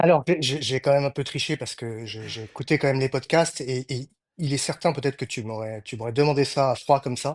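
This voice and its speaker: Before a quiet background, a man in a medium pitch speaks at a fairly quick pace with fairly even intonation and big swings in loudness. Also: dry, close sound with no echo. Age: 50s. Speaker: veterinarian. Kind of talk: interview conversation. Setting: podcast recording. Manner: hesitant, many fillers.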